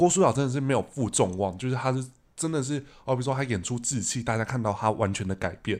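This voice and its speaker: Speaking at a very fast pace, a man with a Taiwanese accent comes through on a very clean recording with a silent background. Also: medium pitch for a man, ordinary pitch variation. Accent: Taiwanese Mandarin. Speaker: podcast host. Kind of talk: casual chat; podcast outro.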